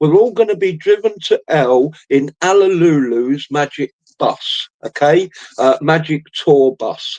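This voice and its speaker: A man's fairly high voice in a Cockney accent, fairly slow, with ordinary pitch variation and a dry, close sound free of echo. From East End of London. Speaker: streamer. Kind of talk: solo livestream monologue. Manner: hesitant, many fillers.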